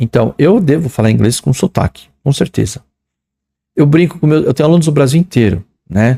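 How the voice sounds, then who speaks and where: A man speaks with a São Paulo accent and a dark, mellow tone. His intonation is lively. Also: dry, close sound with no echo. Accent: paulistano Portuguese. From São Paulo, Brazil. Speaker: English teacher. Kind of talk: lecture. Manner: casual, conversational.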